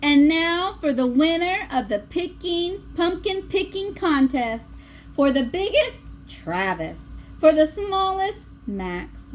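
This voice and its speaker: A woman uses a put-on character voice, high in pitch with very wide pitch swings. She speaks at a fairly slow pace over clear background noise. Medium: read story.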